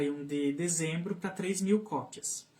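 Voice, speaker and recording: This man's voice sits high in pitch and moves with ordinary variation. He talks at a fairly slow pace. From southern Brazil, Santa Catarina (Canoinhas, São Bento do Sul). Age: 30s. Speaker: speech therapist and children's book author. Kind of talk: interview on live radio/stream. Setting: radio studio live stream. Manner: hesitant, many fillers and repetitions.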